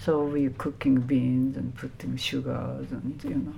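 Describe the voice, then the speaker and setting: A woman with a Japanese accent speaks at a very slow pace, and the room echo is audible. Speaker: Buddhist nun. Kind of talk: interview. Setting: temple. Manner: halting.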